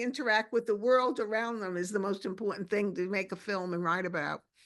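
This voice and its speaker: Over a quiet background, a woman talks at a fairly quick pace. Her pitch is fairly high, with ordinary variation. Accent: Brooklyn. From Brooklyn, New York. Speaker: documentary filmmaker. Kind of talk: interview conversation. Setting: video call. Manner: halting, many restarts.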